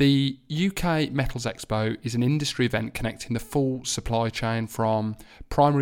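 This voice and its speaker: A man with a Birmingham accent, moderate pace and fairly even intonation. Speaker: podcast host. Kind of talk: casual interview.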